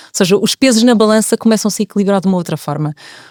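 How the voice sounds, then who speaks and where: A woman talks very fast with a dry, close sound and no echo, on a very clean recording with a silent background. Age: 40s. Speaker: podcast guest. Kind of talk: casual chat.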